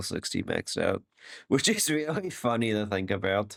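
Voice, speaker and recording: This man talks at a fairly slow pace in a fairly low pitch, with ordinary pitch variation. The recording is very clean, with a silent background. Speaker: YouTuber commenting on own old video. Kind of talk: casual commentary. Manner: animated.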